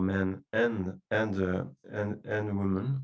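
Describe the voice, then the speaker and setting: In a French accent, a man speaks at a fairly low pitch with ordinary pitch variation. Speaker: oncologist. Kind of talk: medical webinar presentation. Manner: halting, many fillers.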